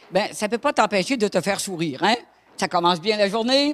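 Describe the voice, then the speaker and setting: In a dry, close recording with no echo, a woman with a Quebec accent talks at a fairly quick pace in a fairly high voice whose pitch swings very widely. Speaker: preacher. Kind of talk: sermon. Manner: animated.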